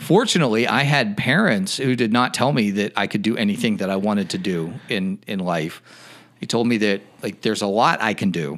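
This man has an ordinary speaking voice with an American accent and a fairly low pitch. His intonation is lively. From western Pennsylvania, near Pittsburgh. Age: 40s. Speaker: educator and first-time political candidate. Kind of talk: casual interview chat.

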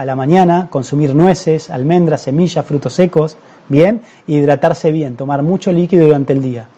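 A plain, everyday voice: a man speaking fairly quickly in a fairly high pitch, his intonation fairly even. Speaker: doctor. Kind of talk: live-streamed health talk. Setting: Facebook live stream.

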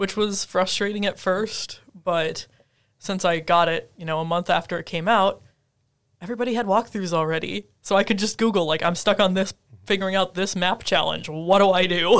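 A woman's medium-pitched voice with an Upper Midwest US accent, at a moderate pace, fairly even in intonation, on a very clean recording with a silent background. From Minnesota (Twin Cities area). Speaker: podcast co-host, graduate student. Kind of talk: casual chat.

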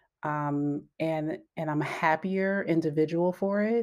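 Animated in tone, a woman with a fairly low pitch is heard in a very clean recording with a silent background. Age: 40s. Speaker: podcast host. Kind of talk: casual solo talk. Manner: animated, laughing often.

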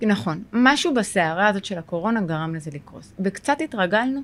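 A woman speaks at a fairly high pitch and a fairly quick pace. Her voice makes very wide pitch swings. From Israel, Sderot. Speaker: social worker and therapist. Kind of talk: podcast interview.

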